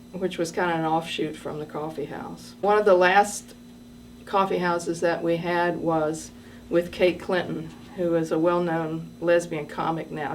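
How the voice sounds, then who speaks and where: A woman at a moderate pace, with audible room echo. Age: 60s. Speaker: retired schoolteacher and massage therapist, storyteller. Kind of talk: personal storytelling. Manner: hesitant with frequent fillers.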